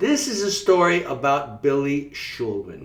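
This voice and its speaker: Over noticeable background noise, a man with a slight Long Island accent talks at a high pitch. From Long Island, New York. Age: 60s. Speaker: life coach. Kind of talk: storytelling broadcast.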